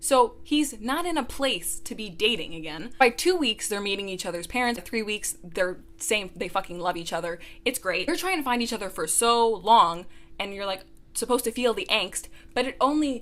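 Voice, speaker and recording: A woman's voice, bright and sharp, moves through very wide pitch swings in an animated tone at a moderate pace. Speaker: book reviewer. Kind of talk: rant review.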